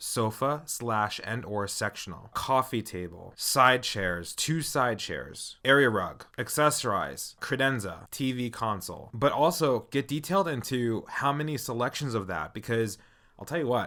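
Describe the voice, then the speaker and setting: A man's medium-pitched, bright, sharp voice with lively intonation at a fairly slow pace, on a very clean recording with a silent background. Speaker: interior designer podcast host. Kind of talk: solo podcast monologue. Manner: casual, conversational.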